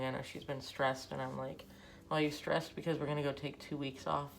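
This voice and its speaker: Talking at a very fast pace, a woman with a very deep, low voice and vocal fry is heard over audible room echo. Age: 40s. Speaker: artist and vlogger. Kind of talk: casual chat while drawing. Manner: rambling, hesitant; whispering, quiet.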